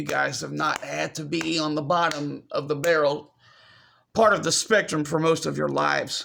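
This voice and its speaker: The recording is very clean, with a silent background. In it, a man talks at a moderate pace. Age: 30s. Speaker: video blogger. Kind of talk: personal vlog monologue. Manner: repetitive, halting.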